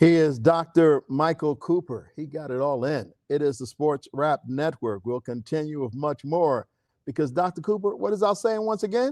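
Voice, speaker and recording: In a normal speaking voice, a man talks at a moderate pace with hardly any pauses, lively intonation and a fairly high pitch. The sound is dry and close with no echo, over a quiet background. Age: 60s. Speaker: sports radio host. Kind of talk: radio interview.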